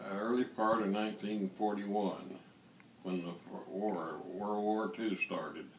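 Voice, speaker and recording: Audible room echo and noticeable background noise surround a man who speaks at a fairly slow pace and a fairly low pitch, with fairly even intonation. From eastern Kentucky / West Virginia border. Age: 80s+. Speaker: war veteran. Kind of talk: interview.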